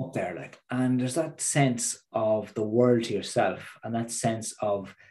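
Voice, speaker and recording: A man's dark, mellow voice in an Irish accent, at a fairly slow pace with ordinary pitch variation. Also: medium pitch for a man. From Ireland, midlands. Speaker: transformational coach and public speaker. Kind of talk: podcast interview.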